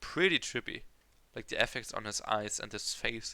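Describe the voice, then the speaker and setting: A man with a non-native accent speaks at a medium pitch with ordinary pitch variation and a bright, sharp tone. The recording is very clean and the background silent. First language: not English. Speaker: kpop reaction youtuber. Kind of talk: reaction video commentary. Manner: halting, many fillers.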